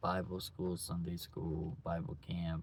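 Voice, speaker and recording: A man speaks at a very slow pace in a somewhat breathy voice. His pitch is very deep and low. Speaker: vlogger, single father. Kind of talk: personal video diary. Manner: mumbling; halting.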